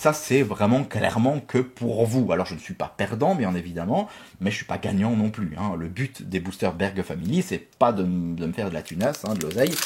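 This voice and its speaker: A man's somewhat breathy, fairly low voice moves at a moderate pace with lively intonation, recorded very cleanly against a silent background. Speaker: YouTuber opening Pokémon card boosters. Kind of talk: casual pack-opening vlog. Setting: home office.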